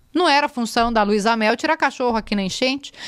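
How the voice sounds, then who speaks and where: Over a quiet background, a woman talks at a very fast pace with lively intonation and an animated tone. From Rio Grande do Sul, Brazil. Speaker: journalist. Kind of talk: casual podcast interview. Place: studio. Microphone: studio mic.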